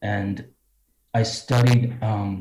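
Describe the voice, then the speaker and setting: This man has an American accent and a fairly low pitch. His delivery is somewhat breathy, with monotone, flat intonation. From US Midwest, Cedar Rapids Iowa. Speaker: fashion designer. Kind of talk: interview.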